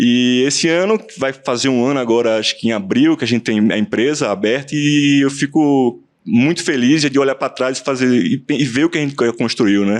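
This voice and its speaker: A man with a Pernambuco accent speaks at a medium pitch with ordinary pitch variation. His pace is moderate, with hardly any pauses. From Brazil, Pernambuco (Recife). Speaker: lawyer and business partner. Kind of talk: podcast interview. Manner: halting, with many repetitions.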